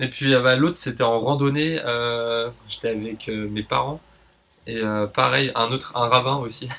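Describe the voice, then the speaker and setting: A man with a medium pitch and fairly even intonation talks at a moderate pace. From Paris, France. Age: 30s. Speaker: nurse and traveller. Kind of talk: casual interview.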